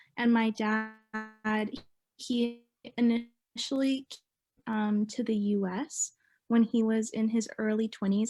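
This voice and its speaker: A woman's somewhat breathy voice, dark and mellow in tone, fairly high in pitch, with fairly even intonation and a very slow pace. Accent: Canadian. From Mississauga, Ontario, Canada. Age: 20s. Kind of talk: oral history interview answer.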